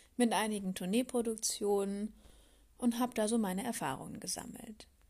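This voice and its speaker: A woman speaks at a fairly high pitch with ordinary pitch variation and some breathiness, on a very clean recording with a silent background. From Palatinate, Germany. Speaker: podcast host. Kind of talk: solo podcast monologue.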